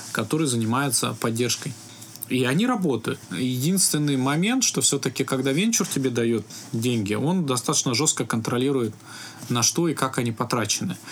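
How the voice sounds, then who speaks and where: Music plays behind a man speaking at a moderate pace. His pitch sits in the medium range with ordinary variation. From Russia, Altai Krai (Biysk). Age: 30s. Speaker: IT company founder. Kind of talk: interview.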